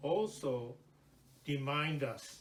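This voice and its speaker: With ordinary rises and falls in pitch, a man talks in a fairly high register as the room echoes audibly. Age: 80s+. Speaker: Buddhist minister. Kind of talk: sermon. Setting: temple service.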